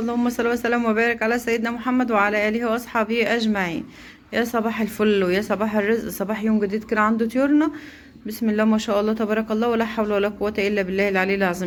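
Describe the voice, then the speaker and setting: A woman's fairly high voice at a very fast pace, very even in loudness, with hardly any pauses. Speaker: poultry-raising vlogger. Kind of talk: casual vlog.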